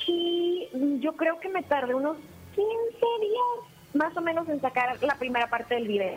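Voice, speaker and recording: Over noticeable background noise, a woman with an extremely high pitch and very wide pitch swings speaks at a fairly slow pace. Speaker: paranormal content creator. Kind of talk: interview.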